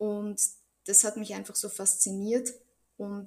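Speaking at a fairly slow pace, a woman uses a medium pitch, flat monotone intonation, and vocal fry. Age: 30s. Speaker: Bach flower remedy practitioner. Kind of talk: interview.

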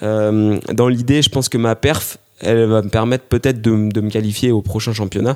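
A man speaks fairly slowly, his pitch sitting in the medium range. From Paris region, France. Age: 20s. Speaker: amateur runner and military sports instructor. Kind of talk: interview. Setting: living room at home. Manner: hesitant with repetitions.

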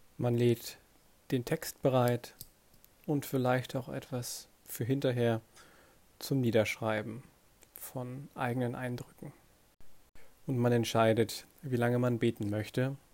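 Speaking at a very slow pace with long, frequent pauses, a man uses a calm, gentle tone. His medium-pitched voice stays monotone and flat. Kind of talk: guided meditation. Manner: slow, calm, soft-spoken; gentle, unhurried, with long pauses.

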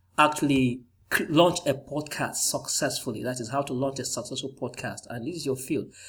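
This man has an ordinary speaking voice, a fairly high pitch and a fairly quick pace. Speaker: podcast host. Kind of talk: interview.

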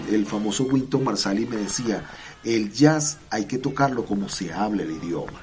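Pitch varies in an ordinary way through speech delivered at a fairly slow pace. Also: man. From Venezuela, Barquisimeto (Lara). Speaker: musician, composer and conductor. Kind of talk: radio interview. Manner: halting, repeats words.

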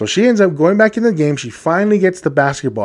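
A loud, animated man talking at a very fast pace with very wide pitch swings, against a quiet background. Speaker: podcast host. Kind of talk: solo monologue podcast. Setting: studio microphone.

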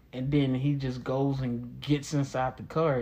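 A man with an American accent speaks at a fairly high pitch. His voice is somewhat breathy. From Texas, Dallas. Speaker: podcast host. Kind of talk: casual monologue.

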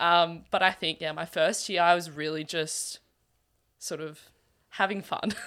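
A woman with an Australian accent speaks at a fairly slow pace in a fairly low pitch, her tone bright and sharp and her intonation flat and monotone, with long, frequent pauses on a very clean recording against a silent background. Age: young. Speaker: university student and runner. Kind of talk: casual chat.

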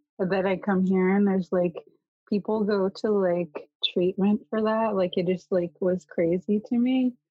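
An ordinary speaking voice with a Canadian accent, at a moderate pace with fairly even intonation, the sound dry and close with no echo. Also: woman. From northern British Columbia, Kitimat. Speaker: youth care counselor. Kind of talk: casual interview chat.

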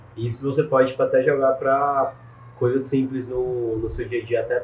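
Fairly even in intonation and somewhat breathy, this voice moves along at a moderate pace. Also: man. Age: 20s. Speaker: digital marketing entrepreneur. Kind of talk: interview. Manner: casual slangy.

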